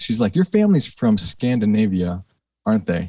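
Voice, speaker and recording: In a very clean recording with a silent background and a dry, close sound with no echo, a man with an American accent speaks at a fairly quick pace, fairly low in pitch, with fairly even intonation. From Minnesota, Saint Paul area. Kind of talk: casual interview chat.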